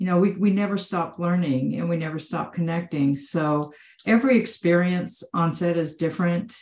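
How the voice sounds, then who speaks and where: A woman with a normal speaking voice talks at a moderate pace. Her pitch is fairly low, with ordinary pitch variation. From Texas. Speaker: actor. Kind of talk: casual chat. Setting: video call.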